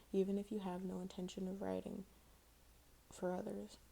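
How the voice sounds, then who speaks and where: A soft-spoken woman whispers in a somewhat breathy voice. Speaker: ASMR content creator. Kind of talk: ASMR article reading. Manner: soft-spoken, whispery.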